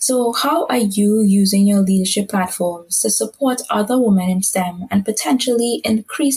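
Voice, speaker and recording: Somewhat breathy, a woman's medium-pitched voice moves at a moderate pace with ordinary pitch variation. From Caribbean. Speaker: podcast moderator, advocacy officer. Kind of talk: interview.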